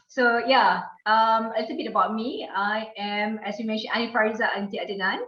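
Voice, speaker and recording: A woman's fairly high voice at a fairly quick pace, fairly even in intonation, with audible room echo. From Malaysia (Kuching, Sarawak, Borneo). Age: 40s. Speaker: diplomat. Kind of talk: interview. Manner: formal.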